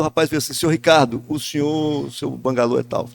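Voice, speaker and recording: Over a very clean recording with a silent background, a man speaks very fast with lively intonation. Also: dry, close sound with no echo. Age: 60s. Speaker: journalist and business owner. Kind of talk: podcast panel discussion. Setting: event space at a guesthouse. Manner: talkative, long turns.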